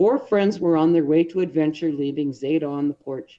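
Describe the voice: A woman's low pitch at a moderate pace, with ordinary pitch variation.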